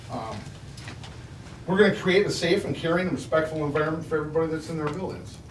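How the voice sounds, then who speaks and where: Over noticeable background noise and audible room echo, a man with a fairly high voice talks at a very fast pace with long, frequent pauses and ordinary pitch variation. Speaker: school staff trainer. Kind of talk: board presentation. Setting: school board meeting. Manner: loud.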